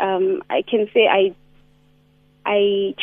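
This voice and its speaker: Her voice sits at a fairly high pitch. Noticeable background noise runs underneath this woman's speech. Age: 20s. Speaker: caller. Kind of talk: phone-in call about relationship problem. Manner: halting.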